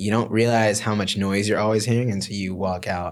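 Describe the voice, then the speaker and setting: Talking at a fairly quick pace, a man with an American accent has a fairly low pitch and ordinary pitch variation. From United States. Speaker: musical theatre actor. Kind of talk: casual chat. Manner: animated.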